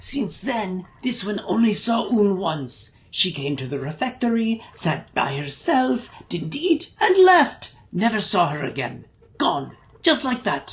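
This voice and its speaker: This put-on character voice sits at a fairly high pitch and makes very wide pitch swings. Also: fairly slow pace. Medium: game stream. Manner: rambling, crude, talks of self by name.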